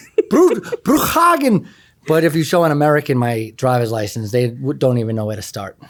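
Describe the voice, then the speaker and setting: With a New York accent, a man speaks fairly quickly at a medium pitch with lively intonation. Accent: East Coast (New York). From New York City (Queens, Long Island). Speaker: math teacher and former poker player. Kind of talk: interview.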